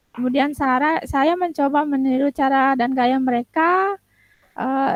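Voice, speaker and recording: This woman's high-pitched voice moves at a moderate pace with fairly even intonation, recorded dry and close with no echo. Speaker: teacher. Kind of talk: coaching role-play. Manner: halting.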